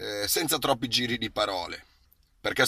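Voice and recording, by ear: A bright, sharp tone comes through in a very clean recording with a silent background. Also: man.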